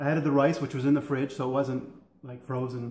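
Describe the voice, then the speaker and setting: Monotone, flat intonation with audible room echo. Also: man. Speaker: home cook vlogger. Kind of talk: casual cooking vlog chat. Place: kitchen. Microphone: camera far.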